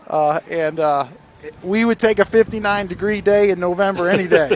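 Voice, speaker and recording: Noticeable background noise, ordinary pitch variation, and a dry, close sound with no echo. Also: man, high pitch for a man, moderate pace. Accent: American. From Northeast Ohio. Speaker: football coach, guest color commentator. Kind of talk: live sports broadcast chat.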